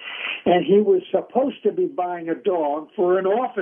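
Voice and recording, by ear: A passage read aloud in a natural voice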